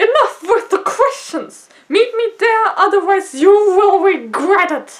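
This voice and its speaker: A woman in a put-on character voice, raised and projected at an extremely high pitch, with lively intonation and hardly any pauses. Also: fairly slow pace. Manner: high-pitched and insane.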